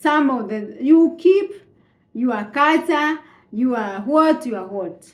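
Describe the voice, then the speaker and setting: Speaking at a very slow pace, a woman with a Kenyan accent uses a high pitch and very wide pitch swings. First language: Kikuyu. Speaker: vlogger. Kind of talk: casual monologue. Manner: halting.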